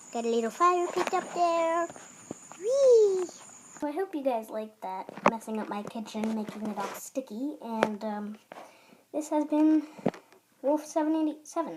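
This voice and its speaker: Pitch swings very widely as a woman speaks at a fairly slow pace. There is noticeable background noise. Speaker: YouTuber making a how-to video. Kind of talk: tutorial. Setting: outdoors in backyard. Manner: hesitant, many fillers.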